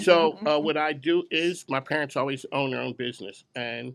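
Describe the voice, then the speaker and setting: With an American accent, a man speaks using fairly even intonation. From Philadelphia. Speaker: business radio show host. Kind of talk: event emcee speech to live audience. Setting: grand opening event with audience. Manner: casual, unscripted.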